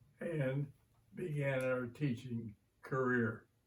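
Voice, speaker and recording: Somewhat breathy, a man with an American accent speaks at a fairly high pitch with ordinary pitch variation. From southern Indiana (Borden). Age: 90s. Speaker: retired teacher. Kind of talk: oral history interview.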